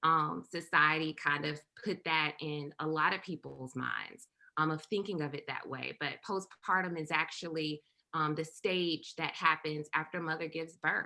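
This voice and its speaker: With a Southern US accent, the speaker keeps a moderate pace and a monotone, flat intonation. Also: woman, very deep, low pitch for a woman. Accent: Southern US (Georgia). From US South, rural south Georgia. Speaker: perinatal mental health trainer. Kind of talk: presentation. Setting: virtual summit.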